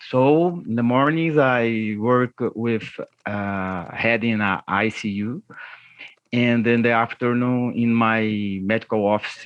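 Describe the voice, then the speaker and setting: The voice has a Portuguese accent and fairly even intonation, moving at a fairly slow pace in a dry, close sound with no echo. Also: man. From Brazil. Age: 40s. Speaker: cardiologist. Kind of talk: podcast interview. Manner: halting.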